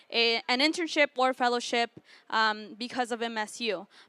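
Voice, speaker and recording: A woman's high voice with an American accent, bright and sharp in tone, fairly even in intonation, on a very clean recording with a silent background and a dry, close sound with no echo. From US South, Southwest Florida. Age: 20s. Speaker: student intern. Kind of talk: panel talk. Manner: hesitant with frequent fillers.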